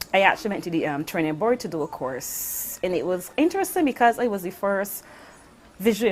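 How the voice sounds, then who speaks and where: With a normal speaking voice, a woman talks at a fairly quick pace, her medium pitch shaped by lively intonation. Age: 50s. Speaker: visually impaired interviewee. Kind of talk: personal testimony.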